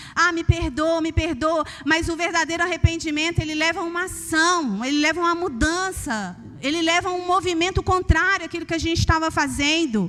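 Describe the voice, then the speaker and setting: A woman with a Minas Gerais accent projects a raised voice at an extremely high pitch, speaking at a fairly quick pace with ordinary pitch variation. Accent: Minas Gerais Brazilian Portuguese. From Brazil, Minas Gerais. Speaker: preacher. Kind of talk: sermon. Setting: church.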